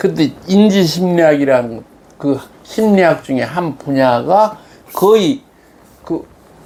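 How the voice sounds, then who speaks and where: Very slow delivery with long, frequent pauses. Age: 70s. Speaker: lecturer on philosophy of religion. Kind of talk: conversational lecture dialogue. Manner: halting, many fillers.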